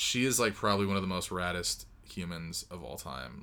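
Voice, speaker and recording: Speaking with an American accent, a man with a very deep, low pitch and a bright, sharp tone talks at a moderate pace with ordinary pitch variation. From Southern California. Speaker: musician. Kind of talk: casual chat.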